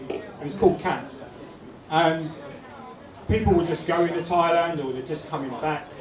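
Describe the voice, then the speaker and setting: Spoken at a moderate pace in a London accent with fairly even intonation and long, frequent pauses, the voice carries audible room echo over noticeable background noise. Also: man, high pitch for a man. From England, North London. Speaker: YouTuber. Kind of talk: talk to audience. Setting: pub event with audience.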